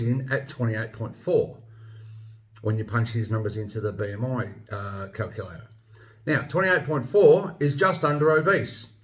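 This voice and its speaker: Somewhat breathy, a man talks at a moderate pace and a medium pitch. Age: 50s. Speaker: health vlogger. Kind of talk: opinion monologue. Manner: casual, some repetition and hesitation.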